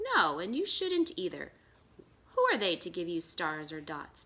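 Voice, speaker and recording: A woman puts on a character voice with a fairly low pitch. She keeps a moderate pace. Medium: read story. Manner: warm and kind.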